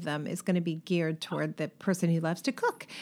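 A woman with a Californian accent on a very clean recording with a silent background. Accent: California. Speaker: podcast host and design business coach. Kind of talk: casual interview.

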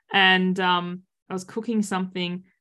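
A woman with an Australian accent speaks at a medium pitch and a fairly slow pace. Her tone is bright and sharp, her intonation monotone and flat. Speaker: boundaries coach and author. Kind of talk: casual interview chat. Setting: video call.

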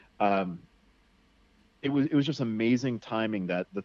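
An American-accented man with a plain, everyday voice, medium pitch, ordinary pitch variation and a fairly quick pace. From US Northeast, Connecticut. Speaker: survival instructor and outdoorsman. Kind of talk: casual interview chat. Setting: remote online interview.

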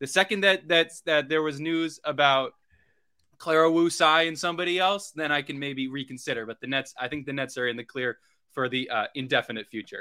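A man speaks in a plain, everyday voice at a fairly high pitch. His pace is fairly quick, with ordinary pitch variation. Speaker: podcast co-host. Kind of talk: casual sports talk podcast.

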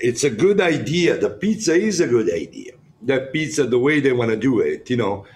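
In a strong Italian accent, a man with a somewhat breathy, fairly high voice speaks at a moderate pace, his pitch swinging very widely. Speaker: chef and founder of a jail cooking program. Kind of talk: casual chat.

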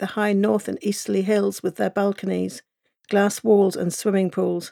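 A woman with a Cornish accent speaks at a moderate pace in a medium pitch, her dark, mellow tone dry and close with no echo on a very clean recording with a silent background. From England, Cornwall. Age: 40s. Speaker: author. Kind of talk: audiobook narration of a memoir, lyrical and evocative. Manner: wistful and quietly defiant, building emotional intensity.

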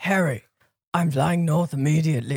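A man puts on a raspy character voice at a fairly high pitch. He keeps a moderate pace.

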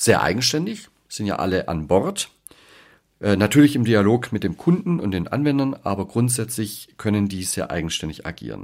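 The recording is very clean with a silent background as a man talks at a moderate pace with very wide pitch swings. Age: 40s. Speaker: leadership coach and podcast host. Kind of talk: podcast monologue.

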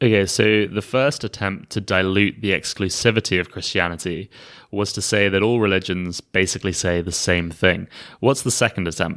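A man talks at a moderate pace with fairly even intonation in a normal speaking voice. His pitch is fairly low. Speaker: podcast host. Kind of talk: casual conversation. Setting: remote call.

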